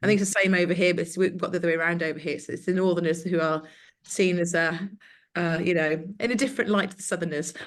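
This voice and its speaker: In an English Midlands accent, a woman speaks at a very fast pace. Her fairly low pitch has fairly even intonation. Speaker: webinar host, consultancy founder. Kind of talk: webinar introduction and casual chat. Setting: video call webinar. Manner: hesitant, many fillers.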